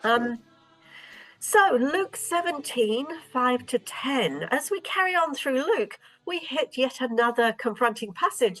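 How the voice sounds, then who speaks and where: A high-pitched woman at a fairly slow pace, with very wide pitch swings and music in the background. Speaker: stand-in host of a Bible discussion. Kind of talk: moderated group discussion.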